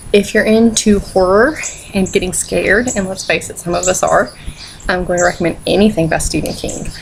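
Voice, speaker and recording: A woman's medium-pitched voice, with ordinary pitch variation, comes through noticeable background noise. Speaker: book reviewer. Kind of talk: casual talk to camera. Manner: upbeat, playful.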